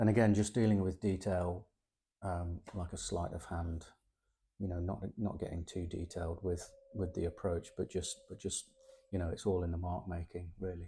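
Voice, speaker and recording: A man with a very deep, low pitch speaks in a relaxed, somewhat breathy tone at a moderate pace, his intonation monotone and flat, on a very clean recording with a silent background. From East Midlands, England (Sutton in Ashfield). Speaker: artist sketching on location. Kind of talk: casual vlog walkthrough of sketchbook. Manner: relaxed, hesitant with fillers and repeats.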